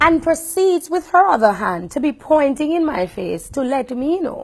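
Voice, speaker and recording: A woman speaks in an animated tone with a high voice and very wide pitch swings. Her pace is moderate. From Jamaica. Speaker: radio host. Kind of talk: vlog monologue.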